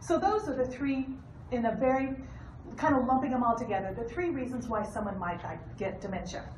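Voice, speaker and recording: A woman speaks in a high-pitched, animated tone with lively intonation. Noticeable background noise and audible room echo are present. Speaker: hospice nurse. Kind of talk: educational talk. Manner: fast.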